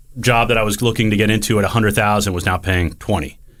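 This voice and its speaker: An unremarkable speaking voice, a man with an American accent, fairly low in pitch with ordinary pitch variation, at a fairly quick pace, in a very clean recording with a silent background. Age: 30s. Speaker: podcast co-host, real estate team owner. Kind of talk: casual chat. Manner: casual, filler-heavy.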